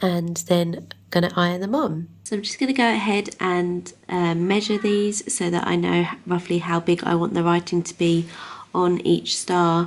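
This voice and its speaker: A woman with an English accent, fairly low in pitch, at a moderate pace with fairly even intonation. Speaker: craft YouTuber. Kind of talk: tutorial. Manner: casual, many fillers.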